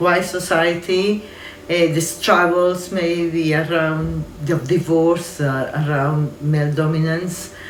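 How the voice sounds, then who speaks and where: A woman speaks in a Spanish accent with fairly even intonation and a fairly low pitch. Audible room echo and noticeable background noise surround her. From Colombia. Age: 60s. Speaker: community organisation manager. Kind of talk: interview testimony. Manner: halting, with many fillers.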